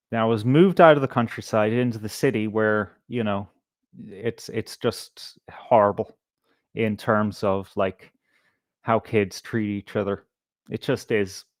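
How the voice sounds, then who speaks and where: With an American accent, a man talks at a fairly slow pace in a fairly low voice. His intonation is fairly even, and the sound is dry and close with no echo. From Ireland, Galway with Belfast family. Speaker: live stream host. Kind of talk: casual chat. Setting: live stream.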